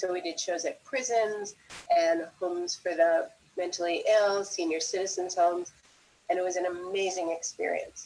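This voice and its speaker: A normal speaking voice from a woman with an American accent, medium in pitch, at a moderate pace with fairly even intonation. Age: 60s. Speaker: circus school founder and teacher. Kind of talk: live stream interview. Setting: live stream.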